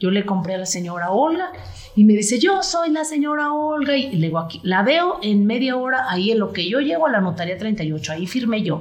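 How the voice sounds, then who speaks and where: Against noticeable background noise and audible room echo, a woman with a fairly high pitch talks at a fairly quick pace, her pitch swinging very widely. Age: 50s. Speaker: real estate agent. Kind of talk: interview conversation.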